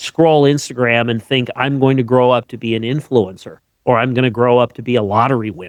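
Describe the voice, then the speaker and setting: Over a quiet background, a man with an unremarkable speaking voice talks at a fairly quick pace at medium pitch, the sound dry and close with no echo. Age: 60s. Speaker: podcast host, tax planner. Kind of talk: podcast interview.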